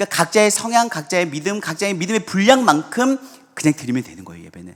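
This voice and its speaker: A man talks at a very fast pace in a high voice with lively intonation. His loudness swings widely. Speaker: pastor. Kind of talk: sermon.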